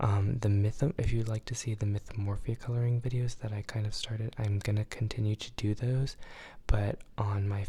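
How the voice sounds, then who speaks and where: This is a very clean recording with a silent background. Speech proceeds at a moderate pace. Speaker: YouTuber coloring channel host. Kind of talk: casual chat while coloring. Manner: hesitant, many fillers.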